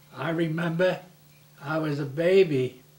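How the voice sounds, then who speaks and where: Very slow speech in an American accent, with ordinary pitch variation and noticeable background noise. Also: man. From Newark, New Jersey. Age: 80s+. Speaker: grandparent interviewee. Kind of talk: family oral history interview. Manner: halting, with repeated words and false starts.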